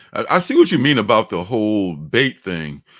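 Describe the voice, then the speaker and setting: A man talks at a fairly slow pace with a slight Mississippi accent. His pitch swings very widely, and the recording is very clean with a silent background. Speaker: comics livestream host. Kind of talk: casual chat. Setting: livestream.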